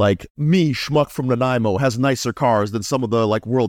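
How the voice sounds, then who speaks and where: A plain, everyday voice from a man at medium pitch, fairly quick in pace with ordinary pitch variation, on a very clean recording with a silent background and a dry, close sound with no echo. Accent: Canadian. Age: 40s. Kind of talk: casual interview chat.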